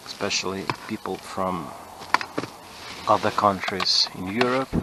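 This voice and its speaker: This man has a very deep, low voice and talks at a fairly slow pace. Background noise is noticeable. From Ukraine. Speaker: car mechanic. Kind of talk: tutorial. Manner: halting.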